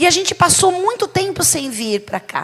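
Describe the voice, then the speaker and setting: At a moderate pace, a woman talks with a São Paulo accent. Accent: São Paulo (paulista). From São Paulo, Brazil. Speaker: bishop, preacher. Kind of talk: sermon. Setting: church service.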